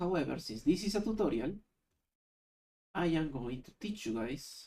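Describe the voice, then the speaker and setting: The speaker has a non-native accent and keeps a moderate pace. Long, frequent pauses break up the speech. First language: not English. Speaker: YouTube tutorial creator. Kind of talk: screen-recorded software tutorial. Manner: casual, thinking aloud.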